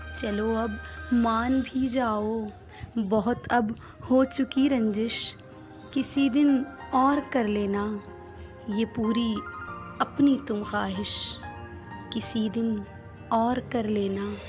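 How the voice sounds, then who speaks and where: The intonation stays fairly even. Behind the speech, music is playing. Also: woman, fairly high pitch for a woman. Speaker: voiceover artist. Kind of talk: poetry reading. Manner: emotional, tender.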